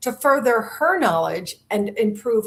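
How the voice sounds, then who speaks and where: A woman's somewhat breathy voice moves with lively intonation. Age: 60s. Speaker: podcast host. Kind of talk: interview.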